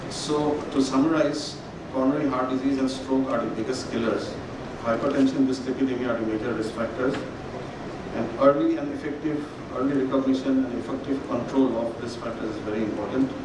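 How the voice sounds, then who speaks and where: A man speaks in a monotone, flat intonation, with audible room echo and noticeable background noise. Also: fairly quick pace. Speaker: conference speaker. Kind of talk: lecture. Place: hall. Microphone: podium.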